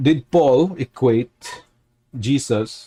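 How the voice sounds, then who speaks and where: The sound is close and dry, without any echo. A man talks with a non-native accent. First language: not English. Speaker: religious commentator. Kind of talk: casual talk to camera. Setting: livestream. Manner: halting, many fillers.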